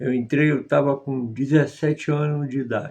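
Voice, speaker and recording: A man's voice sits at fairly high pitch. He speaks at a fairly slow pace. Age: 60s. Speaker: former member of a religious group. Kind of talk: testimony.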